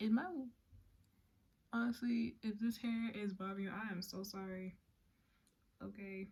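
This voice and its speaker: At a moderate pace broken by long, frequent pauses, a woman speaks in a somewhat breathy, medium-pitched voice. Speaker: YouTuber telling a story. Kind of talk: casual story time. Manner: halting, with pauses and repetitions.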